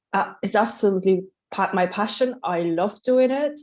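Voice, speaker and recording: Speaking with a Polish accent, a woman has a medium pitch and ordinary pitch variation. She goes at a fairly slow pace over a quiet background. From Poland, Katowice. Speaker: waxing specialist, salon owner. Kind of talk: podcast interview. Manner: energetic.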